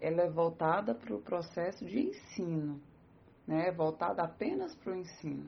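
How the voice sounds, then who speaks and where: Speaking at a fairly slow pace, a woman talks with a Brazilian accent. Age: 30s. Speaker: psychologist and teacher. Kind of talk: interview.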